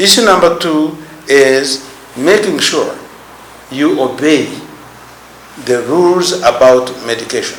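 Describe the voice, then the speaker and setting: Against noticeable background noise and audible room echo, a man with a fairly high pitch speaks at a fairly slow pace, with ordinary pitch variation and long, frequent pauses. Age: 70s. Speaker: HIV activist, former soldier and politician. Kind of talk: interview.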